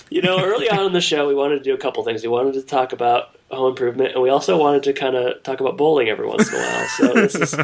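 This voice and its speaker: With hardly any pauses, a man rushes through his words at a very fast pace over noticeable background noise. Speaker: podcast co-host. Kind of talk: casual chat.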